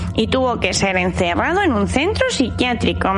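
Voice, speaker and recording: Over loud background music, a female-sounding voice puts on a character voice at a moderate pace. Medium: audio drama. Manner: cheeky, meows while talking.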